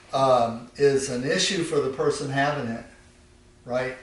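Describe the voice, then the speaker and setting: A man with a fairly high pitch and ordinary pitch variation keeps a moderate pace, with noticeable background noise behind him. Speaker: Thai yoga manual therapy practitioner and teacher. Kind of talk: instructional demonstration narration while treating a client. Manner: calm, explanatory.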